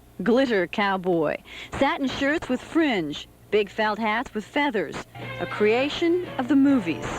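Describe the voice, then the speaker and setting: Music in the background beneath a woman's fairly high, fairly slow voice with very wide pitch swings. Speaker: TV news reporter. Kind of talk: TV news report.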